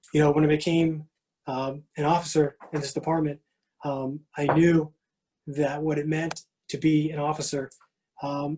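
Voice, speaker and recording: This man's voice is fairly high with a dark, mellow tone. He speaks at a moderate pace in a flat monotone. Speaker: award recipient, police officer. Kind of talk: acceptance speech. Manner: halting, many fillers and repetitions; strained to speak loudly.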